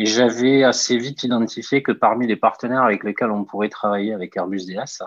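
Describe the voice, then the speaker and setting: Fairly even intonation runs through a man's speech at a moderate speed. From southern France, Toulouse. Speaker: entrepreneur, startup founder. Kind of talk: interview. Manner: hesitant, many filler sounds.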